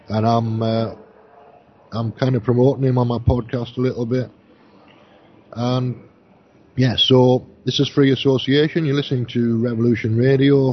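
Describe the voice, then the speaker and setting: Somewhat breathy and medium in pitch, a man talks at a moderate pace in a monotone, flat intonation, leaving long, frequent pauses. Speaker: radio host. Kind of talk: live radio show chat.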